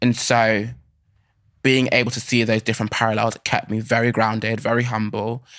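In a British accent, a man speaks at a fairly quick pace and a medium pitch. His intonation stays monotone and flat, on a very clean recording with a silent background. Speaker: actor and dancer. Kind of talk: casual interview. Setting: studio.

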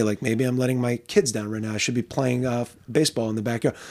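An American accent in a normal speaking voice, a man at medium pitch and a fairly quick pace. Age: 40s. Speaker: podcast host and teacher. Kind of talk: casual interview. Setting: home studio.

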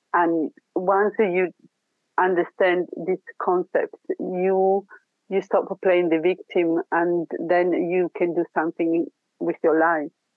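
With an Italian accent, a woman speaks at a fairly low pitch and a very slow pace, her intonation monotone and flat, her loudness very even, with long, frequent pauses. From Italy. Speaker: spiritual healer. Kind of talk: interview.

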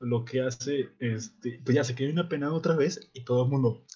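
A man speaks at a medium pitch, somewhat breathy. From Monterrey, northern Mexico. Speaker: podcast co-host. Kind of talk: casual chat. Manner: animated.

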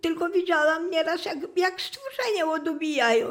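A woman talks at an extremely high pitch with lively intonation. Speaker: massacre survivor. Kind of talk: testimony. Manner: halting.

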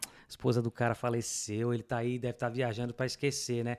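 Very fast speech from a man at medium pitch, on a very clean recording with a silent background. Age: 30s. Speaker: immigrant motorcyclist, air-conditioning worker. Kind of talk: casual interview chat.

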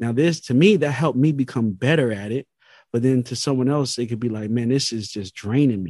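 Against a quiet background, the speaker goes at a fairly quick pace with a dark, mellow tone and ordinary pitch variation. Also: man, medium pitch for a man. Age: 30s. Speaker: food scientist and entrepreneur. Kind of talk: casual interview. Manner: hesitant, many fillers.

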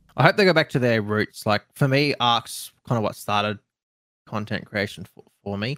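A man with an Australian accent talks at a moderate pace, his pitch medium with ordinary variation. The sound is dry and close, with no echo. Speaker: streamer and content creator. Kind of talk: casual chat.

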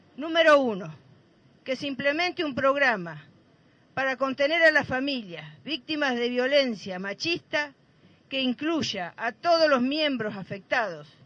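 A woman with a high voice and lively intonation talks at a fairly slow pace. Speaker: mother of a femicide victim, activist. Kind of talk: protest speech; reading a statement aloud. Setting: outdoors at a plaza rally.

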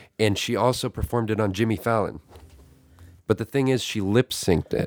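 Recorded dry and close with no echo, a man speaks at a fairly low pitch with ordinary pitch variation. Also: very clean recording, silent background. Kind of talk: casual chat. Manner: soft-spoken.

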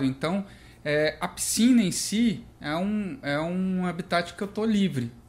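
Set against a very clean recording with a silent background, the speech comes at a very slow pace. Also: man. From Brasília, Brazil. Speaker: architect and stone business owner. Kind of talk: casual chat.

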